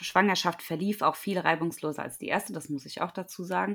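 A woman's bright, sharp tone at a fairly low pitch, with fairly even intonation, in a very clean recording against a silent background. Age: 30s. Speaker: running and fitness coach. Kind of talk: interview.

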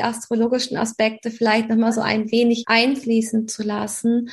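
Noticeable background noise surrounds a woman speaking at a moderate pace with a fairly high pitch. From Hamburg, northern Germany. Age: 30s. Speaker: astrology coach and naturopath. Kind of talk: podcast interview.

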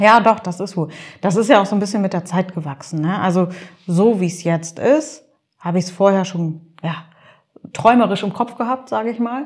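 Long, frequent pauses break up a woman's moderately paced speech. Her medium-pitched voice is somewhat breathy, with ordinary pitch variation. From Nordhorn, Grafschaft Bentheim, northwest Germany. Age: 30s. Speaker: social media blogger and columnist. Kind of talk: casual interview. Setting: office.

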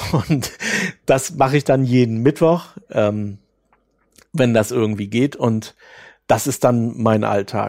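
Ordinary pitch variation shapes this man's medium-pitched voice as he talks at a moderate pace. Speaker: author and podcaster. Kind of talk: interview. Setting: remote call. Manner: hesitant.

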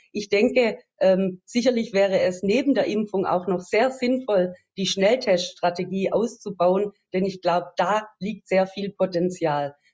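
A woman's medium-pitched voice, fairly slow in pace, with ordinary pitch variation. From Swabia, Baden-Württemberg (Metzingen). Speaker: politician, election candidate. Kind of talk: interview. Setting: video call. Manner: hesitant with many fillers.

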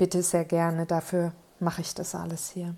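With a dark, mellow tone, a woman talks in a monotone, flat intonation. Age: 30s. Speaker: podcast host and author. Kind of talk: solo monologue podcast. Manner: casual, unscripted chatter.

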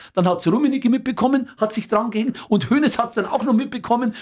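A man with a Bavarian accent speaks at a fairly quick pace. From Upper Bavaria, Rosenheim area. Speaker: football commentator and newspaper editor. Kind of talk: casual interview chat.

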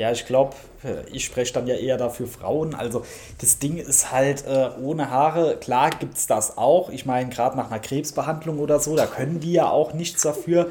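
A man talks in a normal speaking voice, fairly high in pitch. His intonation stays fairly even and his pace is moderate. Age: 30s. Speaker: podcast guest. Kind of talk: casual chat. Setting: remote call.

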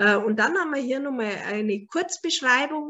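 With a Bavarian accent, a woman speaks at a high pitch with lively intonation. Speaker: animal naturopath and author. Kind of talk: book presentation lecture. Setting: online video call.

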